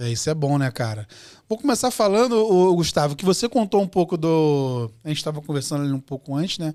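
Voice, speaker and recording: On a very clean recording with a silent background, a man speaks fairly quickly in a fairly high, dark, mellow voice with very wide pitch swings. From Rio de Janeiro, Brazil (Bangu). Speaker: podcast host. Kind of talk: podcast interview. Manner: casual, informal.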